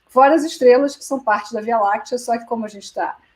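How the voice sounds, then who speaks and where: With a fairly quick delivery and ordinary pitch variation, a woman talks in a somewhat breathy voice. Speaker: physics professor. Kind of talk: lecture. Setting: video call.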